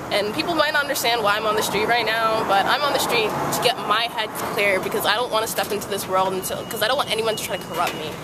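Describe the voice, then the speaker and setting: With an American accent and a very fast pace, the speech comes in a dry sound with no echo against loud background noise. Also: woman. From Brooklyn, New York. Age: young. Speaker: street poet. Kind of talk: spoken word poetry; casual interview. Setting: outdoors on a sidewalk. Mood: calm, sincere, sometimes smiling. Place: street. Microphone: phone near.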